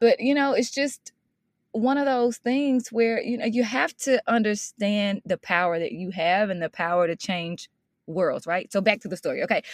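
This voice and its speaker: A woman speaks in a Mississippi accent at a moderate pace with a fairly high pitch. The sound is dry and close, with no echo. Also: lively intonation. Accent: Southern US (Mississippi), rural. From Mississippi, US South. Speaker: education consultant and motivational speaker. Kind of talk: interview. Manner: animated.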